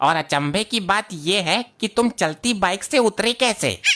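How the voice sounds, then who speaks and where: A female-sounding cartoonish character voice sits at a medium pitch for a woman. It moves at a moderate pace. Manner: teasing.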